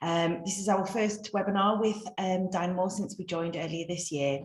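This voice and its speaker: Noticeable background noise behind a woman speaking at a fairly quick pace. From North East England. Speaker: webinar host, business consultant. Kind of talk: webinar introduction. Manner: hesitant, many fillers.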